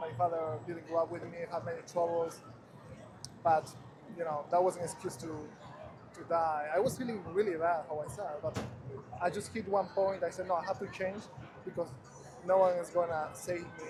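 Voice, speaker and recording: A man with a Spanish accent speaks at a high pitch. His intonation stays fairly even. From Ecuador. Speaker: passerby, photographer. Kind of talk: casual street conversation. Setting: outdoors in Times Square.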